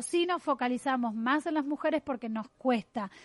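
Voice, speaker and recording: This woman's voice is high, her pitch varies in an ordinary way, and she keeps a moderate pace. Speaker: radio host, journalist and runner. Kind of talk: radio interview. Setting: radio studio.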